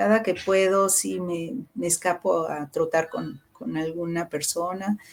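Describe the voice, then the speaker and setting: Very slowly, a woman speaks at a fairly low pitch with ordinary pitch variation. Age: 60s. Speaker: musician and teacher. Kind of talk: interview conversation.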